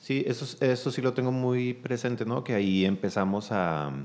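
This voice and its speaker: Speaking at a fairly slow pace, a man keeps ordinary pitch variation. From Chihuahua, Mexico. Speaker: cellist, singer and music school director. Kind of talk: casual interview chat.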